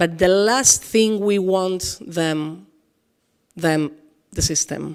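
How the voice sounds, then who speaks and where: A woman with a Spanish accent, very slow pace, ordinary pitch variation, and long, frequent pauses. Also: medium pitch for a woman. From Spain. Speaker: author and dancer. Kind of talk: public interview on stage. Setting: event hall with audience. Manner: halting.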